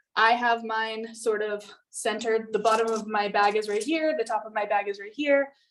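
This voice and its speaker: A woman with an unremarkable speaking voice talks at a moderate pace, her pitch fairly high. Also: fairly even intonation. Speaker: artist teaching painting. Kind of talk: tutorial.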